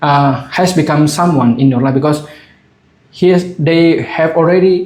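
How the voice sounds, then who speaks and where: Speaking with a non-native accent, a man with a fairly high voice talks at a fairly slow pace with fairly even intonation in audible room echo. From Asia. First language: not English. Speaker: vlogger. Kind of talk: casual monologue. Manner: halting, many fillers.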